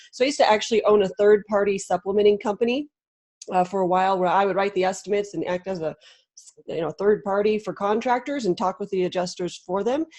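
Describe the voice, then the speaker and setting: Over a quiet background, a woman talks at a very fast pace in a medium pitch with ordinary pitch variation. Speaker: Xactimate trainer for contractors, former adjuster; Xactimate trainer for contractors. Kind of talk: webinar presentation. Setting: video call. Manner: fast-talking. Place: home room.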